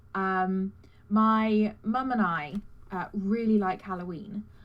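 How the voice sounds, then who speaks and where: With a British accent, the speaker goes at a very slow pace with ordinary pitch variation. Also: woman. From Britain. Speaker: cosplayer. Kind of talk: casual interview. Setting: live stream. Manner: halting, many fillers.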